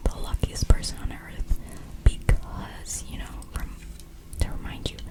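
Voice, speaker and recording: The speaker is a woman, whispering. Her delivery is fairly slow, and background noise is noticeable throughout. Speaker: ASMR content creator. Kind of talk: casual storytelling ramble.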